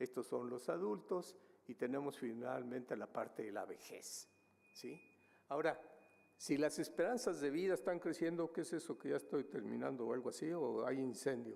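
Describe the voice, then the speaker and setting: A man with vocal fry and lively intonation at a moderate pace. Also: fairly high pitch for a man. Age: 70s. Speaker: demographer, researcher. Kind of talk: conference presentation. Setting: conference hall with audience. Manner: hesitant, many fillers.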